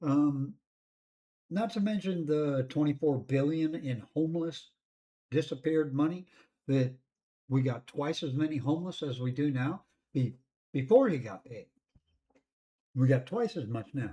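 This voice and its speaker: Talking at a moderate pace with long, frequent pauses, a man with an American accent has a fairly high pitch, a dark, mellow tone and a somewhat breathy quality. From California. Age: 60s. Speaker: news commentary vlogger. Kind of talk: opinion commentary monologue. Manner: casual, rambling with fillers.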